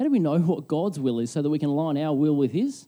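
A man with an Australian accent talks at a very fast clip in a dark, mellow tone, his pitch fairly high. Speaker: pastor. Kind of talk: sermon. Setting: church.

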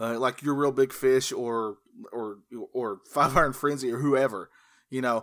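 In an unremarkable speaking voice, a man talks at a moderate pace and medium pitch with fairly even intonation, on a very clean recording with a silent background. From US South, North Carolina. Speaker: podcaster and artist. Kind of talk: casual chat.

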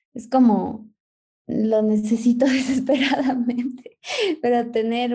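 The woman's voice is dark and mellow, with monotone, flat intonation. She speaks at a very slow pace. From Ecuador. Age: 20s. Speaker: photographer. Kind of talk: casual interview.

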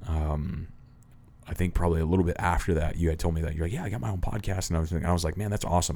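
Speaking very fast, a man with a very deep, low pitch has a dark, mellow, somewhat breathy tone. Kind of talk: casual podcast interview. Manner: animated, conviction.

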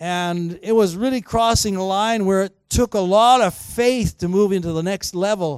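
On a very clean recording with a silent background, a man with a high pitch speaks in an animated tone at a moderate pace, with ordinary pitch variation. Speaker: guest preacher. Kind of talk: sermon. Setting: church with congregation.

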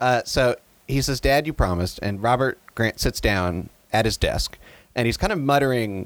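The speaker reads in a natural reading voice.

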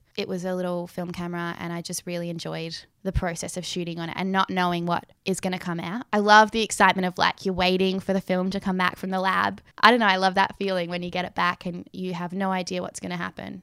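In an Australian accent, a woman races along at a very fast pace with hardly any pauses, a medium pitch and monotone, flat intonation, in a very clean recording with a silent background. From Western Australia, Perth. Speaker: photographer. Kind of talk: casual interview. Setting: her apartment.

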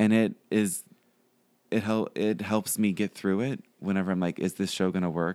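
Talking at a fairly slow pace, a man with an American accent uses a fairly low pitch. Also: very clean recording, silent background. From Pittsburgh, Pennsylvania. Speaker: actor and writer. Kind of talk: casual chat. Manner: halting.

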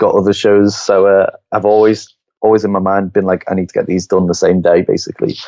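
Talking at a very fast pace, a man with a Liverpool accent has a fairly low, monotone, flat voice. His loudness swings a lot. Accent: Liverpool (Scouse) English. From Liverpool, England. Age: 20s. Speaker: photographer. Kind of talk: casual interview chat.

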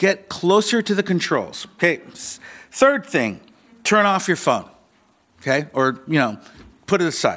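Using very wide pitch swings, a man with an American accent and a high pitch speaks at a fairly slow pace. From US Pacific Northwest, Seattle (Ballard). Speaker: pastor. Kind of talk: sermon. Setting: church. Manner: halting.

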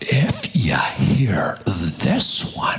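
Over music in the background, a man whispers. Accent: American. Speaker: preacher. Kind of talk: sermon. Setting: church with live audience, microphone. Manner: animated, humorous.

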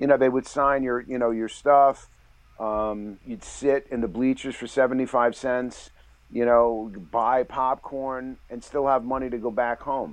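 A man with a New York accent speaks at a medium pitch with fairly even intonation. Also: fairly slow pace. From New York City (the Bronx). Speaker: novelist and screenwriter. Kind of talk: interview.

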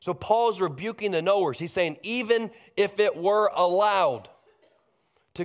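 In a very clean recording with a silent background, a man speaks with lively intonation at a fairly slow pace. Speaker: pastor. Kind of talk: sermon. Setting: church service.

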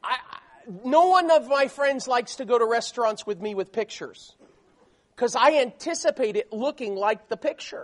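This man's voice sits extremely high for a man, with lively intonation. He speaks at a moderate pace with an American accent. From South Florida. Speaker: missionary preacher. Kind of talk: sermon. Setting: church.

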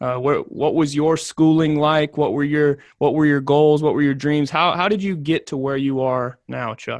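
The speaker has an unremarkable speaking voice, talking at a moderate pace with hardly any pauses. Intonation stays fairly even against a quiet background. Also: man, fairly high pitch for a man. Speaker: podcast host and journalism teacher. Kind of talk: interview. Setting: classroom.

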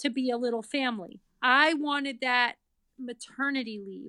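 A woman with an American accent speaks in a raised, projected voice at a fairly slow pace, with high pitch and ordinary pitch variation. Her tone is bright and sharp, and the sound is dry and close with no echo. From Massachusetts, Boston area. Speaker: parent of NICU baby, author. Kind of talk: casual interview, personal story.

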